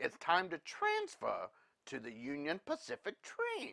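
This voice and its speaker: A woman's put-on character voice at a fairly slow pace, in a dry, close sound with no echo. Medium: read story. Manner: worried, prim.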